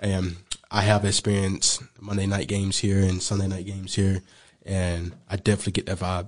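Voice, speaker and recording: Fairly quick and fairly low-pitched, a man's voice comes through. His intonation is monotone and flat. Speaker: pro football player. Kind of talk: interview. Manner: hesitant, many fillers.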